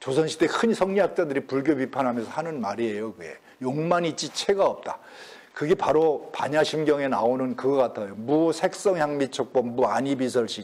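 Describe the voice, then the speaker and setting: Lively intonation from a man with a fairly high pitch, at a moderate pace, in a normal speaking voice. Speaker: professor emeritus lecturing on Confucian classics. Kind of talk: lecture. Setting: lecture hall with audience.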